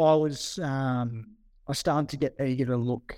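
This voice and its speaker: Recorded very cleanly against silence, a man with an Australian accent speaks at a medium pitch, the sound dry and close with no echo. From New South Wales Southern Highlands, Australia. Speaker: former livestock marketing worker, podcast co-host. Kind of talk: casual chat.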